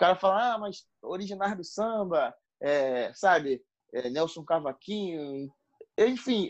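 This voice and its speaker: A high-pitched male voice with lively intonation at a fairly slow pace. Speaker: pagode singer and songwriter. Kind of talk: casual interview chat.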